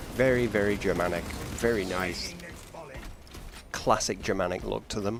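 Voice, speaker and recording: Fairly even intonation at a moderate pace, with long, frequent pauses over noticeable background noise. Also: man, fairly low pitch for a man. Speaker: gaming streamer. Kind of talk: live gameplay commentary. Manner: casual, chatty.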